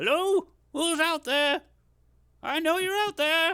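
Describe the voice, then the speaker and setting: A man's put-on character voice, extremely high-pitched, at a fairly slow pace. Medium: actual play. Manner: friendly, rambling.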